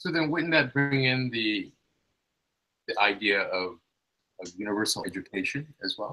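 A man with a medium pitch speaks in a bright, sharp tone. He leaves long, frequent pauses. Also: lively intonation, moderate pace. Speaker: seminar participant. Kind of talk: audience question. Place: home room. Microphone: video call.

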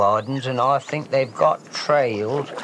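A man at a fairly high pitch, moderate pace, and ordinary pitch variation, with a Fenland accent and noticeable background noise. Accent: rural Fenland. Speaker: eel fisherman. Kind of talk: documentary interview answer.

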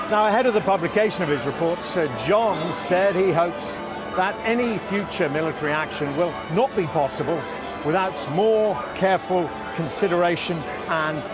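Clear music plays behind a man speaking at a moderate pace, and the sound is dry with no echo. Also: ordinary pitch variation. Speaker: TV news reporter. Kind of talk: live news report to camera. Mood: serious, measured. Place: street.

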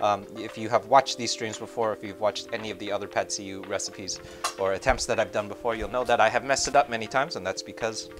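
Over clear background music, a man talks at a very fast pace with big swings in loudness and ordinary pitch variation. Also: fairly low pitch for a man. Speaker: cooking streamer. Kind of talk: tutorial. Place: kitchen.

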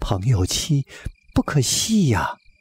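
The speaker reads aloud. It is delivered in a natural voice.

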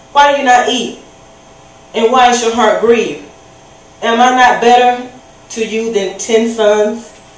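A woman speaks at a moderate pace. The room echo is audible. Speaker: speaker. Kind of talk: scripture reading in a sermon. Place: church.

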